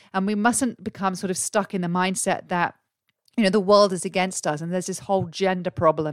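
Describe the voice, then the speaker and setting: A woman with an English accent and a fairly low pitch talks at a fairly quick pace in a dry, close sound with no echo. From England. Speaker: career coach and podcast host. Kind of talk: solo podcast monologue. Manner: animated.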